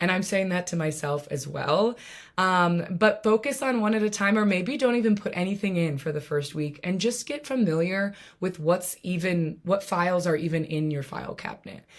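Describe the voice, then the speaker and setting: The delivery is animated, with lively intonation at a moderate pace. The background is quiet. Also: woman. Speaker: app presenter; presenter. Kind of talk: tutorial. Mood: warm, playful, encouraging. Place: home room. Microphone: webcam.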